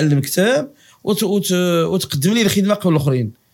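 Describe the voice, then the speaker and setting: A man talks with a Moroccan accent at a high pitch. His pace is moderate and his intonation lively. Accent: Moroccan Darija. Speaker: university professor of political science. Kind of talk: interview. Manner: halting, with repetitions.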